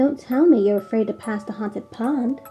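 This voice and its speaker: A woman speaks at a moderate pace in a fairly high voice with ordinary pitch variation while music plays in the background. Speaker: storyteller. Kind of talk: gothic horror story reading.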